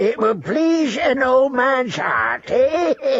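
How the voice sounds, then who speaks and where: Using a put-on character voice, a man speaks at an extremely high pitch. His pace is very slow. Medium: read story. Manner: chuckling, coaxing.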